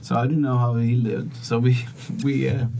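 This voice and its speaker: A man at medium pitch and moderate pace, his intonation fairly even, with audible room echo and noticeable background noise. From Sweden. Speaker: sales coach and inspirational speaker. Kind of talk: interview.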